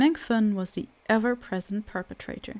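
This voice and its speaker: This woman's fairly high voice has a dark, mellow tone, fairly even intonation, and a moderate pace. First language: not English. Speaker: audiobook narrator. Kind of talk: reading aloud.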